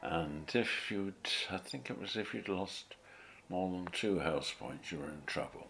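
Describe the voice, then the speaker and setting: A man with a very deep, low pitch and vocal fry, fairly slow, with ordinary pitch variation. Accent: southern English. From Tunbridge Wells, Kent, England. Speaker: retired teacher. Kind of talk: life history interview narration.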